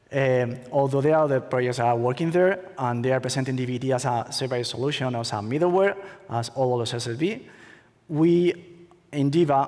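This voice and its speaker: Someone with a Spanish accent talks fairly quickly with ordinary pitch variation, over noticeable background noise and audible room echo. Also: man, medium pitch for a man. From Spain. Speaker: conference speaker, attorney. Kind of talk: conference talk. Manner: halting, many fillers.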